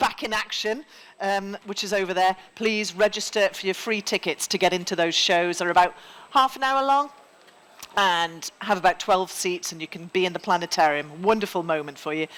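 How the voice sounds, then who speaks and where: A woman with a Geordie accent talks at a fairly quick pace and a medium pitch. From northern England (Newcastle, Geordie). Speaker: event host, former journalist. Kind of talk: conference MC address. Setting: main stage with live audience. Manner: informal, relaxed.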